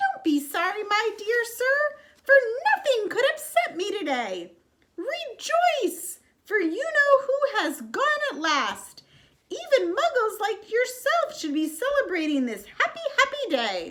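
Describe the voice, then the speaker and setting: A woman uses a put-on character voice, squeaky and extremely high, with very wide pitch swings. She speaks in a raised, projected voice at a fairly slow pace. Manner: delighted, gushing.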